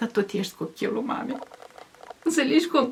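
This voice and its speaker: A woman at a moderate pace with lively intonation, against noticeable background noise. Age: 70s. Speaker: village folk poet. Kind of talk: casual chat. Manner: animated.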